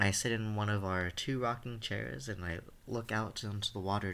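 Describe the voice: What you hear is plain reading aloud.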